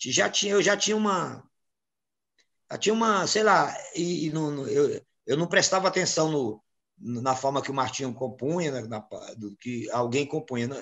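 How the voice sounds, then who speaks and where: Lively intonation at a moderate pace, with long, frequent pauses against a quiet background. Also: man, fairly high pitch for a man. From Brazilian Northeast. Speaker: samba composer and singer; interviewee. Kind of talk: interview. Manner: halting, many repetitions. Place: home room. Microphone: video call.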